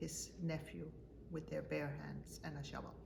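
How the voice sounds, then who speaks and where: At a fairly slow pace, a woman speaks over noticeable background noise with audible room echo. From Denmark. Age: 70s. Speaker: mother interviewed by her child. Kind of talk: family interview about life story.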